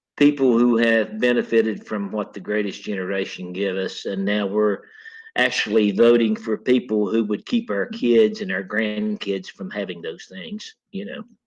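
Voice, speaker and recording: His intonation stays fairly even. The man's pitch is fairly low. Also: moderate pace. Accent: Appalachian. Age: 60s. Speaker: retired coal miner. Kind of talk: interview. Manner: halting.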